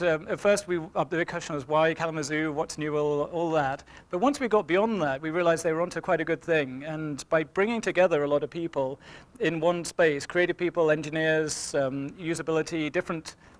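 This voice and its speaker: In an English accent, a man speaks at a fairly quick pace with a fairly high pitch and ordinary pitch variation. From England. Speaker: engineering manager. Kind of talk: seminar talk. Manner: hesitant, many fillers.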